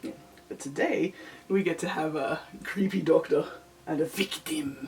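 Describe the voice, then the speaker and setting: Over noticeable background noise, a woman speaks at a moderate pace and medium pitch, her voice making very wide pitch swings. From Australia, NSW. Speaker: lolita fashion YouTuber. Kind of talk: casual makeup vlog. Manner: mutters and trails off.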